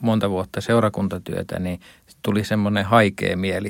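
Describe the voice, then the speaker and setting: A man talks at a fairly slow pace with a fairly low pitch. His intonation is monotone and flat. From Finland, partly raised in Estonia. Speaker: pastor. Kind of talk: radio interview. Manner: halting, many fillers.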